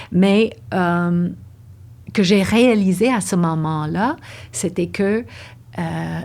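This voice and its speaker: A woman with a fairly low pitch speaks very slowly, her pitch varying in the usual way. Long, frequent pauses break her speech on a very clean recording with a silent background. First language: English (speaking French). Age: 60s. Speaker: dancer and yoga teacher. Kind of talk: interview conversation. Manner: halting.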